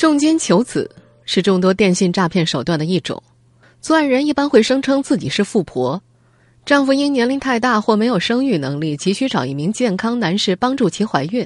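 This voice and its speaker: Her pitch swinging very widely, a woman speaks at a moderate pace against a quiet background. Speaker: radio host. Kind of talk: news reading. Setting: studio.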